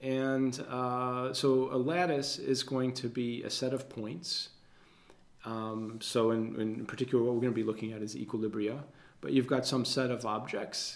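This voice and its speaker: With fairly even intonation, a man keeps a moderate pace. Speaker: university lecturer. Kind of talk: lecture. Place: studio.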